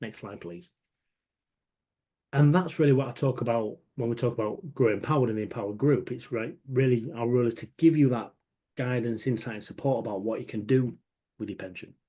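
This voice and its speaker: A man speaks at a fairly quick pace in a medium pitch with a dark, mellow tone. His loudness swings widely, and his pitch varies in an ordinary way. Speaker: pension adviser. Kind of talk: webinar presentation. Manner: fast.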